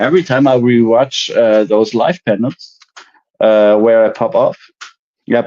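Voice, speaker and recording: Long, frequent pauses break up a man's speech. His tone is dark and mellow, with very even loudness and ordinary pitch variation. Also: medium pitch for a man, fairly slow pace. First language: German. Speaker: IT service worker, former car mechanic, livestream panel guest. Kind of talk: casual chat.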